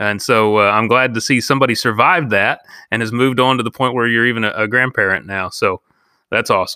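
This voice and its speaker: On a very clean recording with a silent background, a man talks at a very fast pace in a bright, sharp, medium-pitched voice with fairly even intonation. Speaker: podcast host. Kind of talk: interview.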